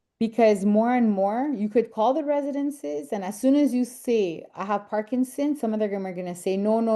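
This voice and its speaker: A woman with a Quebec French accent, fairly high pitch, dark and mellow tone, lively intonation, moderate pace and hardly any pauses. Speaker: senior housing advisor. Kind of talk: online webinar presentation.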